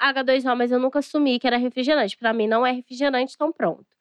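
In a dry, close sound with no echo, a woman talks at a fairly quick pace in a high, animated voice. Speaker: podcast co-host. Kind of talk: casual chat.

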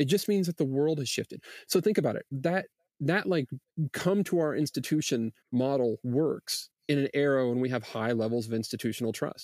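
A man with an unremarkable speaking voice talks at a moderate pace with a fairly high pitch and lively intonation. The sound is dry and close with no echo, on a very clean recording with a silent background. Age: 40s. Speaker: research institute director. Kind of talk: casual interview chat.

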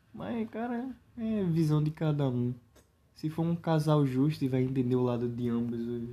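Fairly high in pitch for a man, his voice has a dark, mellow tone, lively intonation and a moderate pace. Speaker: podcast guest. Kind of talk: casual chat. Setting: lying on living room floor at home.

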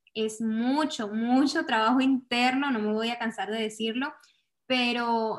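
Against a quiet background, a woman speaks fairly slowly in a high voice with fairly even intonation. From Venezuela. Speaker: content creator. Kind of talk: interview.

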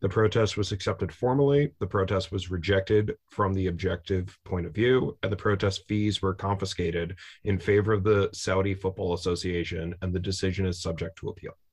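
A man speaks with a very deep, low pitch and a somewhat breathy voice. His fairly quick delivery has fairly even intonation and hardly any pauses. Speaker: podcast host and soccer fan. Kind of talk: casual chat.

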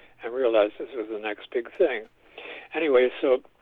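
Moderate pace with an American accent. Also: man. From New York City. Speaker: composer. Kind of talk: interview.

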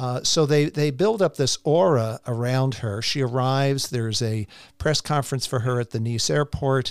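An unremarkable speaking voice: a man at a moderate pace and medium pitch with ordinary pitch variation, captured in a dry, close sound with no echo on a very clean recording with a silent background. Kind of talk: scripted intro followed by interview chat.

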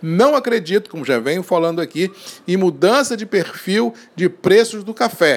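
Over noticeable background noise, a man speaks at a moderate pace in a high pitch, with an animated tone and lively intonation. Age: 50s. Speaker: coffee market commentator. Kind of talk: daily market and weather bulletin.

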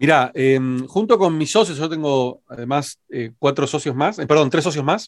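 A man with an Argentine accent speaks at a moderate pace. His pitch is fairly high, with ordinary variation. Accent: Rioplatense Argentine Spanish. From Argentina (Rosario, raised in Buenos Aires). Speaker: digital marketing consultant and entrepreneur. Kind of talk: interview.

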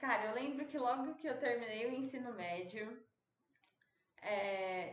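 This woman has a normal speaking voice, pitched fairly high, with lively intonation. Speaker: podcast host. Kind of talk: casual chat.

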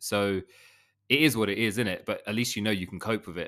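Fairly low in pitch yet bright and sharp in tone, a man speaks fairly quickly on a very clean recording with a silent background. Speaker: podcast co-host. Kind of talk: casual chat. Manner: animated, chatty.

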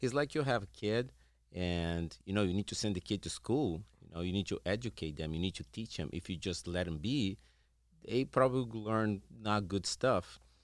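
At a moderate pace, a man with a Portuguese accent speaks in a fairly low voice on a very clean recording with a silent background. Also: ordinary pitch variation. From Brazil. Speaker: veterinarian and animal behaviorist. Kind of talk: interview.

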